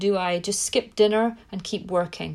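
With a British accent, a woman speaks in an enthusiastic tone at a medium pitch. She keeps a moderate pace in a very clean recording with a silent background. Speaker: parent coach and podcast host. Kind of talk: solo podcast monologue.

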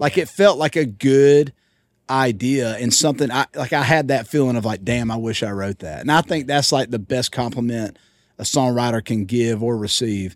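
This man speaks with a Southern US accent. His pitch is medium and his pace is moderate. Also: ordinary pitch variation. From Georgia, US. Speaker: country singer. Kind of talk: casual chat. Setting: tour bus.

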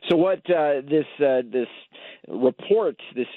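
A man with a plain, everyday voice, talking at a fairly slow pace with ordinary pitch variation. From Chicago. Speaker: toy expert correspondent. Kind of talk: radio interview. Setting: phone call.

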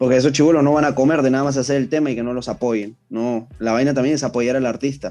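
Talking at a very fast pace with hardly any pauses, a man uses a dark, mellow tone and fairly even intonation. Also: medium pitch for a man. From Peru, Callao (Ventanilla). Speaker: rapper. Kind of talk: interview.

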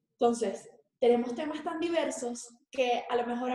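Audible room echo surrounds a woman speaking at a moderate pace in a high pitch. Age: 20s. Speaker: fashion designer and school coordinator. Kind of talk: interview.

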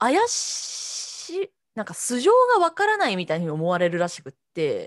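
The woman speaks at a fairly slow pace with big swings in loudness. The sound is dry and close, with no echo. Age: 30s. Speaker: podcast co-host. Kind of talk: casual chat.

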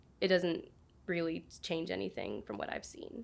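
A woman talks at a moderate pace. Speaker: student opinion writer. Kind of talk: casual interview.

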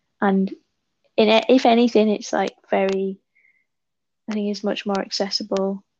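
A woman with a West Yorkshire accent speaks at medium pitch and a moderate pace, her tone dark and mellow. Her intonation is monotone and flat, broken by long, frequent pauses. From northern England, West Yorkshire. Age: 20s. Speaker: author and visual artist. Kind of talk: casual interview.

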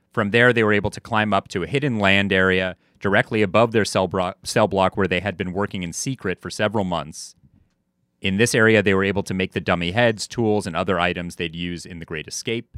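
A man's fairly low voice with an unremarkable speaking voice, fairly even intonation and a fairly quick pace, dry and close with no echo, on a very clean recording with a silent background. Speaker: podcast co-host. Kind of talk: casual podcast chat, storytelling.

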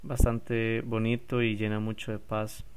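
Speaking with a Costa Rican accent, a man has a fairly low pitch. Audible room echo surrounds his voice. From Costa Rica, San José. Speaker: podcast host and stand-up paddle surfer. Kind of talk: casual solo podcast.

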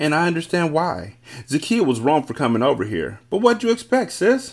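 Putting on a character voice, a man speaks fairly high at a moderate pace, with a slightly husky edge, vocal fry and big pitch swings.

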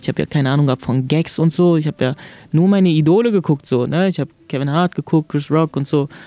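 Over music in the background, a man with a fairly high pitch and ordinary pitch variation comes through with a dry, close sound and no echo. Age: 20s. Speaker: stand-up comedian. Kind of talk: interview.

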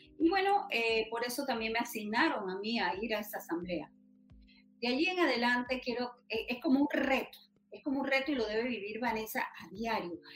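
Music plays behind a woman with a high pitch. She speaks at a moderate pace with lively intonation. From Panama, Los Santos province. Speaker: patient rights activist. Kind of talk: interview.

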